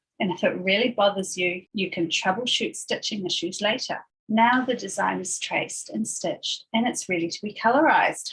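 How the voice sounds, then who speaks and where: This woman has a New Zealand accent and a medium pitch. She talks at a moderate pace with ordinary pitch variation. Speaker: embroidery designer. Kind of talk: craft tutorial voiceover.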